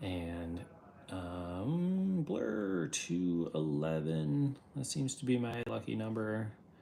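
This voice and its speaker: This man's voice is fairly low and makes very wide pitch swings. He speaks at a very slow pace. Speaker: artist and livestreamer. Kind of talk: livestream drawing tutorial. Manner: casual, filler words.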